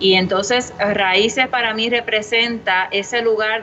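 Against noticeable background noise, a woman talks at a fairly slow pace with fairly even intonation. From Puerto Rico, Humacao. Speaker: brewery co-founder. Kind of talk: casual interview chat.

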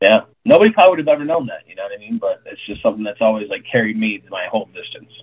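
Very fast speech in an American accent, with big swings in loudness. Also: man. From Arizona, small town near Tucson. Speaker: chef and restaurant owner. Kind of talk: casual chat. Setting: video call.

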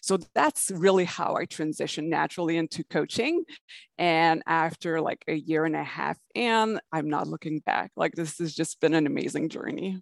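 A woman speaks at a fairly low pitch with vocal fry and ordinary pitch variation. The sound is dry and close with no echo, over a quiet background. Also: moderate pace. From Canada. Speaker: online business coach. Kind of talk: interview.

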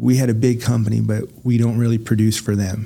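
A man's medium-pitched voice with a dark, mellow tone, fairly even intonation and a moderate pace. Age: 40s. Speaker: podcast co-host. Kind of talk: casual chat.

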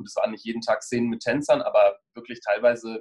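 A man talking at a fairly quick pace. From Germany, Bonn (Rhineland). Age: 30s. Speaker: choreographer and former professional dancer. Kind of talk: interview. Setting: video call.

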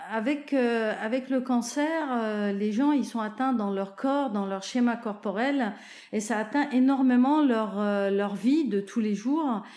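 A woman's very slow, fairly high-pitched speech with ordinary pitch variation and audible room echo. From Lebanon (Zahle). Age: 50s. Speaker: oncology nurse. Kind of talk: testimony. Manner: hesitant, many fillers.

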